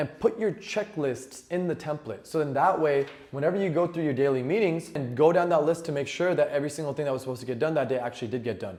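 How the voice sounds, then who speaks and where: Over noticeable background noise, a man talks at a very fast pace. His fairly high voice has hardly any pauses. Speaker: business owner giving tech tips. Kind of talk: tutorial. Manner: casual, with fillers.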